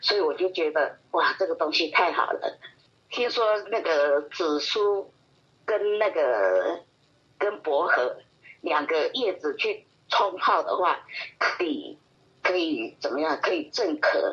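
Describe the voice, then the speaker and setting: Very slowly and at a very even loudness, a woman talks with long, frequent pauses. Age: old. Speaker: retiree, hobby gardener. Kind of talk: casual interview.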